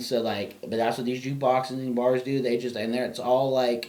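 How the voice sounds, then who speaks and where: A man speaks at a fairly quick pace in a medium pitch, with audible room echo around him. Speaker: podcast co-host. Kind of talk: casual chat. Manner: loud; animated.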